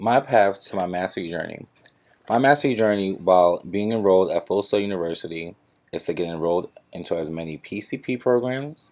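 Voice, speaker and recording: In a plain, everyday voice, a man talks at a fairly quick pace with fairly low pitch and ordinary pitch variation. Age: 20s. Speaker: graduate student. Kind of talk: class presentation. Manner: formal.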